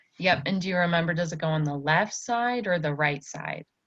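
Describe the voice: Speaking at a fairly quick pace, a woman uses lively intonation, with a fairly low pitch and a fairly bright tone.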